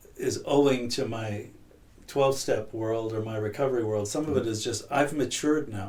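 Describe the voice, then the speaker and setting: A man's fairly even intonation in a room with audible echo. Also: medium pitch for a man, moderate pace. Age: 60s. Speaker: person in long-term addiction recovery. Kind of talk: podcast interview. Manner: reflective, halting.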